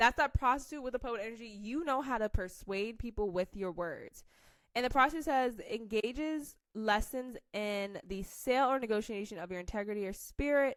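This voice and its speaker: A woman speaks at a moderate pace in a fairly high pitch with ordinary pitch variation. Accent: American. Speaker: tarot reader. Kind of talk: tarot reading to camera. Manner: casual, halting.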